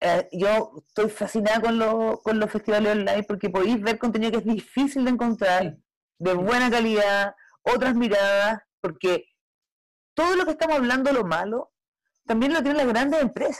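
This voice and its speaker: With a Chilean accent, a woman speaks at a moderate pace in a fairly high pitch, her pitch varying in an ordinary way and her loudness very even. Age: 40s. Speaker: film director. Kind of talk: panel discussion.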